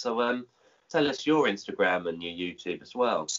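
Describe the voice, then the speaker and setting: A man with a southern English accent and fairly even intonation. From England, Kent. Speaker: supplement reviewer. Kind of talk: casual chat.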